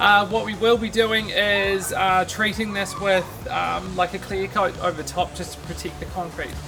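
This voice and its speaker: Speech in a New Zealand accent at a moderate pace with hardly any pauses, music playing in the background. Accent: New Zealand (Kiwi). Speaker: DIY home improvement vlogger. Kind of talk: casual walkthrough vlog. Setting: outdoors in backyard. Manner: casual, with many fillers.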